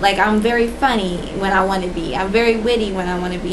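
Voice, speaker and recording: Amid noticeable background noise and audible room echo, a woman talks at a moderate pace with fairly even intonation. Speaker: vlogger. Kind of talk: personal testimony. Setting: indoors, dim room. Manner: soft-spoken.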